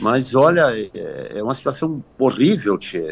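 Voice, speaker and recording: Vocal fry runs through this man's voice. He swings his pitch very widely. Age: 60s. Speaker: mayor. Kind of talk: interview.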